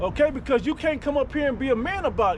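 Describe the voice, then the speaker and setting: Over noticeable background noise, a loud voice speaks at a fairly quick pace with ordinary pitch variation. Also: man. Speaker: street preacher. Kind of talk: street preaching. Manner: animated.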